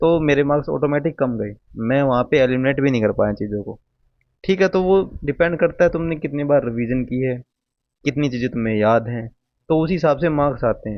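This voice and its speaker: A man with a Haryanvi accent talks at a moderate pace, his fairly high pitch moving with ordinary variation. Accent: Haryanvi-tinged Hindi. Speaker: exam aspirant youtuber. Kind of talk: casual tutorial. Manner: informal, conversational.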